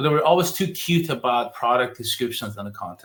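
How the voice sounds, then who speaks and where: A man talks with a non-native accent. His intonation is lively. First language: not English. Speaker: digital marketing agency founder. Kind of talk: podcast interview.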